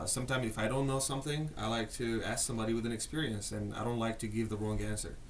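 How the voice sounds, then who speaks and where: A man's medium-pitched voice at a very fast pace, with audible room echo and noticeable background noise. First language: not English. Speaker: marketing executive. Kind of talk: casual interview.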